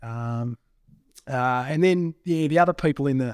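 Moderately paced, a man with an Australian accent is heard on a very clean recording with a silent background. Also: dry, close sound with no echo. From Australia, southwestern Victoria. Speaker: mining company managing director. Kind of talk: casual interview.

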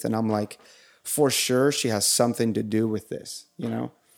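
A man talks in a plain, everyday voice at a medium pitch and moderate pace. His intonation is fairly even, on a very clean recording with a silent background. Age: 30s. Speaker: guest sharing faith testimony. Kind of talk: testimony.

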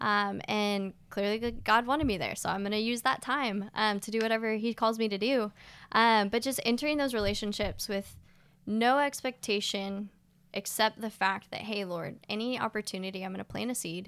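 On a very clean recording with a silent background, a woman with a normal speaking voice talks at a moderate pace, her fairly high pitch held in fairly even intonation. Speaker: campus sports ministry worker, former soccer coach. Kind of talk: casual interview.

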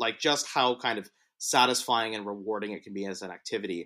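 Using a normal speaking voice, a man with a fairly low pitch shows ordinary pitch variation. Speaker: college mock trial competitor. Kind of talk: casual chat. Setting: video call.

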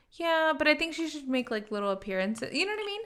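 The woman's tone comes across bright and sharp. She uses a raised, projected voice. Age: 20s. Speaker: guest on podcast. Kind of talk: casual chat. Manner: fast talker.

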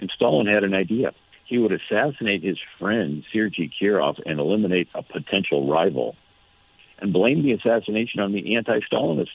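A man with a plain, everyday voice, fairly low in pitch, at a fairly quick pace with lively intonation. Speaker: author and radio commentator. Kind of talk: interview conversation about history and politics. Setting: phone interview.

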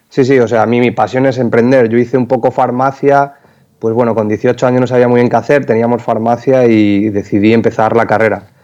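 A man speaks at a medium pitch and fairly quick pace in a flat monotone. His tone is dark and mellow, with very even loudness. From Spain, Extremadura (Cáceres). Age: 20s. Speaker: entrepreneur, company founder. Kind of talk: interview.

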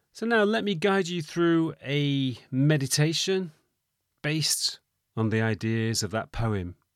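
A man with a fairly high pitch speaks at a fairly slow pace. His pitch swings very widely on a very clean recording with a silent background. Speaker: meditation teacher. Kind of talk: guided meditation. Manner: slow, calm, soothing; gentle, soft-spoken, measured.

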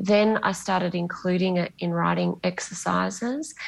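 A woman talks at a moderate pace. She has an Australian accent. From Bunbury, Western Australia. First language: Greek. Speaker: novelist. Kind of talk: interview. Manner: hesitant, with fillers.

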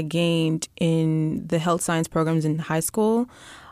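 A woman's normal speaking voice, fairly low-pitched, with an American accent, at a fairly slow pace on a very clean recording with a silent background. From Texas. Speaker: medical student. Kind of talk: casual interview chat.

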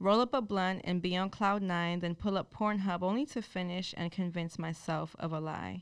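With hardly any pauses, an unremarkable speaking voice keeps a moderate pace and ordinary pitch variation. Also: woman, medium pitch for a woman. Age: 20s. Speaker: spoken word poet. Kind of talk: spoken word poem, performed with a preacher's fervor. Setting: stage with audience. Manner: intense, rhythmic, emotionally charged.

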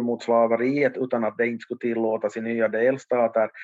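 A man speaks at medium pitch and moderate pace with fairly even intonation, the sound dry and close with no echo. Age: 50s. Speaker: history author and expert. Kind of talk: casual chat. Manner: halting, repeating words.

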